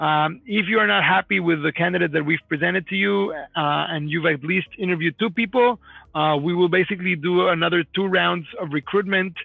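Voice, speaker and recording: Hardly any pauses break up this man's fairly quick speech. His pitch is high, with ordinary variation. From Mexico City. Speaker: company founder and CEO. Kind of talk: live Q&A webinar. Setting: live online video stream. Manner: fast.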